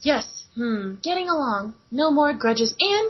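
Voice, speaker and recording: A woman uses a high-pitched put-on character voice at a fairly slow pace. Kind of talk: comic fanfic reading. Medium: read story. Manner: sweet, old-sitcom wholesome.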